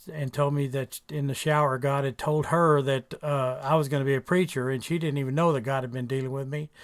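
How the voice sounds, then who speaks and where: With an American accent, a man speaks fairly quickly at a fairly high pitch in monotone, flat intonation. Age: 60s. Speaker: author and preacher. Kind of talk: radio interview, testimony. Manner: halting, many fillers.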